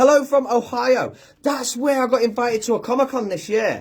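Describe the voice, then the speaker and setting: A man with an American accent, at a moderate pace. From UK. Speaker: social media content creator, cosplayer. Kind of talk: casual livestream chat reading comments. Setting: Facebook live video. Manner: hesitant, lots of fillers.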